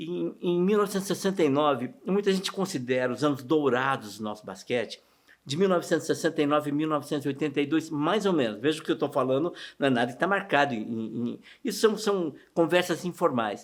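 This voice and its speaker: The recording is very clean, with a silent background. A man with a fairly high pitch speaks fairly quickly in an ordinary speaking voice. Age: 60s. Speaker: interviewee recalling local sports history. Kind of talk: documentary interview. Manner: casual, conversational.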